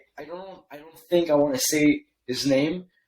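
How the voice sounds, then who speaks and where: In a French accent, a man speaks with a fairly high pitch. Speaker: email copywriter, agency founder. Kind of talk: podcast interview. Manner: hesitant, many fillers and restarts.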